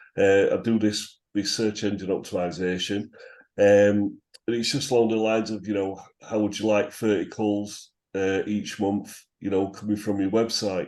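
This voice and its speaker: A man with a northern English accent speaks in a fairly low pitch at a moderate pace, his intonation monotone and flat, with a quiet background. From northern England. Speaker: SEO consultant. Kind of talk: group video call introduction. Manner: hesitant, many fillers.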